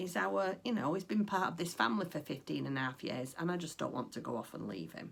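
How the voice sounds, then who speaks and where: A woman with a northern English accent speaks at a fairly low pitch with vocal fry. Her pitch swings very widely. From northwest England. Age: 50s. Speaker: craft vlogger. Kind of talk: casual chat. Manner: chatty, frequent ums.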